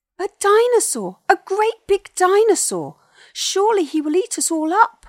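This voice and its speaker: Using a put-on character voice, a woman speaks in a shrill, extremely high pitch at a moderate pace on a very clean recording with a silent background. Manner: yelling in fear.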